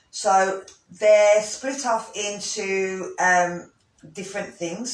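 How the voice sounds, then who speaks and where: A voice with a Brummie accent speaks at a very slow pace, with ordinary pitch variation. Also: man. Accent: Brummie accent, moderate. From Birmingham, English Midlands. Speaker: yoga teacher. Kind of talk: instructional talk. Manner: casual, hesitant with fillers.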